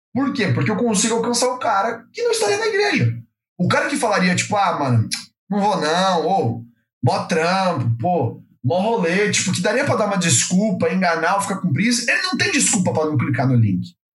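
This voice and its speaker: A man with a high voice swings his pitch very widely, his loudness staying very even amid audible room echo. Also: moderate pace. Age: young. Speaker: church content producer. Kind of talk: casual chat. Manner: casual slang-filled.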